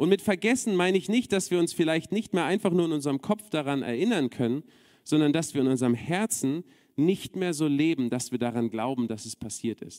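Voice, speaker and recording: A man talks at a fairly quick pace in a fairly high voice with a dark, mellow tone and very wide pitch swings. The recording is very clean and dry, close, with no echo and a silent background. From Berlin, Germany. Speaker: preacher. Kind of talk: sermon.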